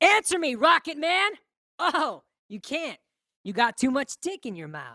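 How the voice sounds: In a put-on character voice, a woman speaks at a fairly slow pace with a high pitch, a bright, sharp tone and big pitch swings, in a dry, close sound with no echo. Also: very clean recording, silent background.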